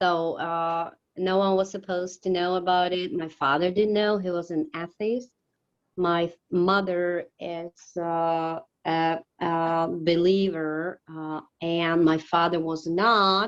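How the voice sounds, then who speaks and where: A woman speaks with a Slovak accent at a very slow pace. Her pitch is fairly low and her intonation monotone and flat. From Slovakia. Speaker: ministry worker. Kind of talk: interview. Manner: halting.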